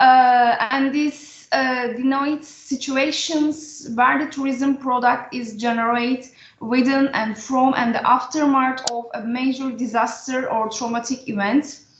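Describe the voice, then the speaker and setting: Through noticeable background noise, a woman talks at a high pitch with fairly even intonation. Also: fairly slow pace, hardly any pauses. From Turkey. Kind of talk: panel discussion. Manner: halting.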